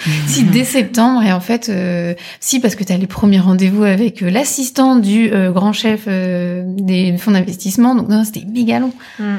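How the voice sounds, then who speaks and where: Her medium-pitched voice is dark, mellow and somewhat breathy, moving at a moderate pace with ordinary pitch variation. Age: 30s. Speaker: entrepreneur, former digital marketer. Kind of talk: casual interview.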